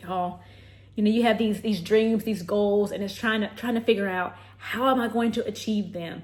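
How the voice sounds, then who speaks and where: Somewhat breathy and fairly high in pitch, a woman talks at a moderate pace with fairly even intonation. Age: 30s. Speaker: lifestyle vlogger and health professional. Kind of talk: casual vlog talk to camera.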